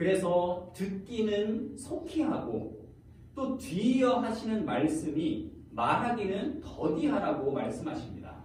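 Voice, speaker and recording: At a very slow pace and with very wide pitch swings, the voice comes through audible room echo and noticeable background noise. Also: man, high pitch for a man. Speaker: preacher. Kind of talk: sermon.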